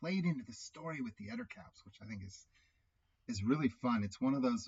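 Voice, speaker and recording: Somewhat breathy, a man talks with lively intonation. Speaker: solo tabletop RPG player and YouTuber. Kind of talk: solo game playthrough commentary. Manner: halting, self-correcting; casual, conversational.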